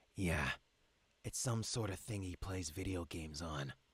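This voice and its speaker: Putting on a character voice, a man rumbles at a moderate pace in a very deep, low pitch. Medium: game stream. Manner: curt, grumbling.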